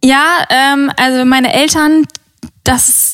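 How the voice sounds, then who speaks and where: Woman's high-pitched voice with fairly even intonation. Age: 20s. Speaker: podcast guest. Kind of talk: casual chat.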